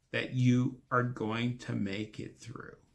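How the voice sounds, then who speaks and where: A man's medium-pitched, calm voice at a very slow pace. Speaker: podcast host, spiritual teacher. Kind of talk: casual talk. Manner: calm, slow.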